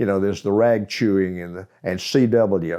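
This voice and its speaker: The speaker has a Southern US accent and a dark, mellow tone. The pace is moderate. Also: man. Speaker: amateur radio operator. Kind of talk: interview answer. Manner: storytelling.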